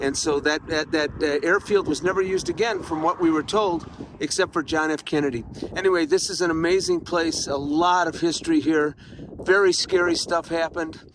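A man talks with a high pitch and fairly even intonation. Light background noise can be heard. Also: dry sound with no echo. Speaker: travel vlogger. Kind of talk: casual vlog chat. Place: open country. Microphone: phone near.

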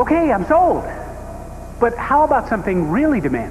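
Very wide pitch swings run through the fairly quick speech, with light background noise. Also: man, extremely high pitch for a man. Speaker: actor playing everyman Phil. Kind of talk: scripted infomercial dialogue. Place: studio.

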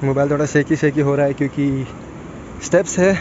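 A man speaks at a fairly quick pace. The sound is dry with no echo, though there is noticeable background noise. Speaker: travel vlogger. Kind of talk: casual vlog chat. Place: beach. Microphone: phone near.

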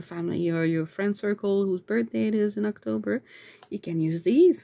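The speaker is a woman. She talks at a medium pitch. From Canada. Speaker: YouTuber and aspiring author; YouTuber. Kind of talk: casual unboxing vlog. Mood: delighted, cheerful. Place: home room. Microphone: phone near.

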